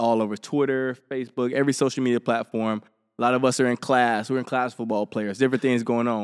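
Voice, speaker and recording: Here a man talks at a fairly quick pace and a medium pitch, with an Alabama accent. The sound is dry and close with no echo, and the recording is very clean with a silent background. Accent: Southern US (Alabama). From Helena, Alabama, US South. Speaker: podcast host, college athlete. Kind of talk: casual interview.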